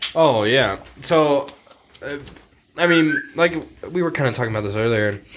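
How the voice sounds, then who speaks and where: A man talks with an American accent at a moderate pace and a fairly high pitch. He leaves long, frequent pauses, and noticeable background noise can be heard. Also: lively intonation. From Texas and Montana. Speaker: hunter, friend of hosts. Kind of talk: casual chat.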